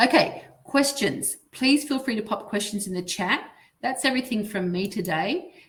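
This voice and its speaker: Lively in her intonation, a woman with an Australian accent speaks at a fairly high pitch in a somewhat breathy voice. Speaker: dental finance consultant presenting. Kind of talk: webinar presentation. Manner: fast.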